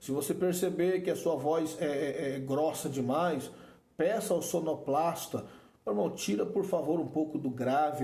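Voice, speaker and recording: With a Brazilian accent and audible room echo, a man talks at a moderate pace in a fairly high pitch with ordinary pitch variation. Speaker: preaching teacher. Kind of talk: lecture. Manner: informal and repetitive.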